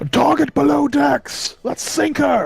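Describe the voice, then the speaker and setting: Shouting in a put-on character voice, a man speaks at a fairly slow pace. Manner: shouting, commanding.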